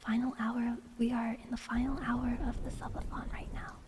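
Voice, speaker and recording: A soft-spoken woman talks at a fairly slow pace. Her pitch is high. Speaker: vtuber streamer. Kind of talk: ASMR livestream.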